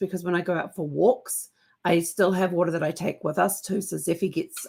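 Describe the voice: In a put-on character voice, a woman speaks at a fairly quick pace with a raspy, hoarse, fairly low voice and fairly even intonation.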